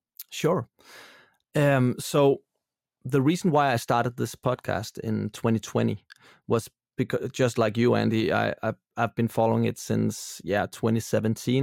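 A man at medium pitch with a Danish accent, moderate pace and very even loudness, in a dry, close sound with no echo. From Denmark. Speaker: film producer, author and radio host. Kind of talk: casual interview chat. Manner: slightly halting, searching for English words.

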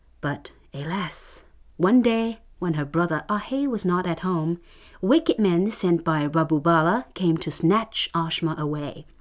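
A woman speaks with a normal speaking voice. Her pitch is fairly low, with ordinary pitch variation. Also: fairly slow pace. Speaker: radio storyteller. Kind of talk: fairy-tale narration. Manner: measured, storytelling cadence.

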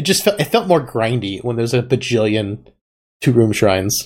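With an ordinary speaking voice, a man talks at a moderate pace using lively intonation. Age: 30s. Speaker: podcast host. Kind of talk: casual chat.

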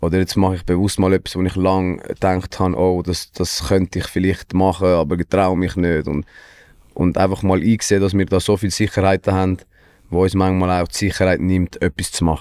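A man with a very deep, low voice speaks fairly quickly. His flat monotone comes through on a very clean recording with a silent background. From Switzerland, Wetzikon. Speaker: musician. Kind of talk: casual chat.

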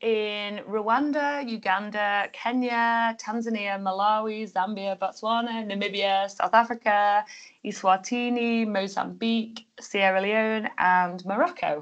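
In a Liverpool accent, a woman speaks at a fairly high pitch and fairly slow pace, with ordinary pitch variation against a quiet background. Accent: Liverpool (Scouse) English. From northern England, Liverpool. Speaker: tour company owner and travel blogger. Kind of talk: casual interview.

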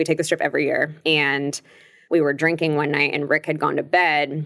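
A woman with an American accent, very deep, low pitch and monotone, flat intonation on a very clean recording with a silent background. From Long Beach, California. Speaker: breakup coach and recovering alcoholic. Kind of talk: casual interview.

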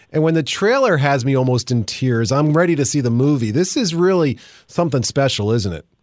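With lively intonation, a man speaks in an ordinary speaking voice at a fairly quick pace and fairly high pitch. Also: very clean recording, silent background. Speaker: radio host. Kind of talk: radio interview.

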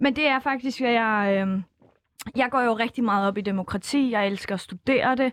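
A woman speaks at a moderate pace with fairly high pitch and ordinary pitch variation. Her loudness is very even, and the sound is dry and close with no echo. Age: 20s. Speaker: political science student. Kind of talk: casual chat. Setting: studio. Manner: animated.

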